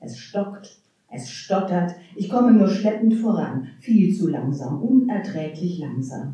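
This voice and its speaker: A woman speaks at a very slow pace, her voice showing very wide pitch swings and big swings in loudness. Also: medium pitch for a woman. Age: 60s. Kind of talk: poetry slam performance; panel discussion.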